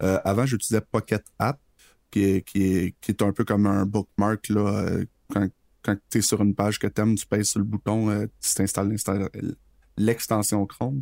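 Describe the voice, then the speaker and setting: In a Quebec accent, a man with a dark, mellow tone and fairly low pitch speaks at a moderate pace in a monotone, flat intonation with long, frequent pauses, recorded very cleanly in a dry, close sound with no echo and a silent background. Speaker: podcast co-host, freelance web programmer. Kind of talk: casual chat.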